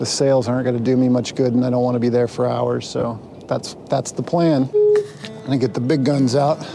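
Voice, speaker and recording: Over clear music in the background, a man talks at a moderate pace with hardly any pauses and ordinary pitch variation, the sound dry with no echo. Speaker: solo sailor vlogger. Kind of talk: casual vlog chat. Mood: relaxed, thoughtful. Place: boat. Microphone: phone near.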